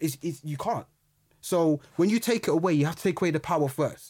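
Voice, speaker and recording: A man with a London accent at a fairly quick pace. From London, Brixton. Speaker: historian and youth mentor. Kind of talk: interview, personal story.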